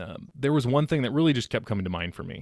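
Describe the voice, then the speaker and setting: This man's intonation is lively. He has an American accent. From US West Coast, Sacramento, California. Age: 30s. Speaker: financial advisor. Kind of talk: interview.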